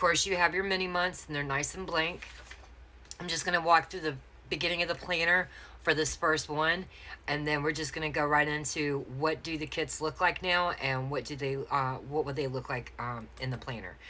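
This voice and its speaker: In a Southern US accent, a woman speaks with a very deep, low pitch, a bright, sharp tone and fairly even intonation. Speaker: planner sticker shop owner. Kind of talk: unboxing tutorial. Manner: fast; hesitant fillers.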